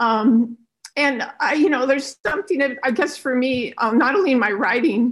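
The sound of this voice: Lively intonation from a woman, high in pitch with a fairly bright tone. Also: moderate pace.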